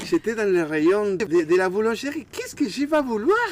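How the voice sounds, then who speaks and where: A man speaks in a high pitch with an Argentine accent. Noticeable background noise is audible. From Argentina. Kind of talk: interview answer. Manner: hesitant, repeats words.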